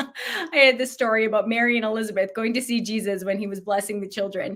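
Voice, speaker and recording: A woman talks at a fairly quick pace at a medium pitch. It is a normal speaking voice. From Canada, Alberta. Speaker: children's ministry author and speaker. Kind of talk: podcast interview.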